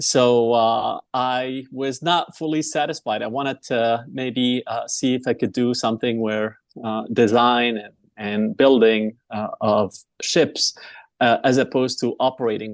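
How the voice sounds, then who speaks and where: This man talks at a fairly slow pace and a medium pitch. His intonation stays fairly even. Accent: Arabic. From Egypt, Alexandria. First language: Arabic. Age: 40s. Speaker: engineer and entrepreneur. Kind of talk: interview. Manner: halting, many fillers.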